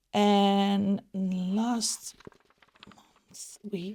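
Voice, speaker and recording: This woman has a dark, mellow tone at medium pitch. Her voice is somewhat breathy. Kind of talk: casual talk to camera.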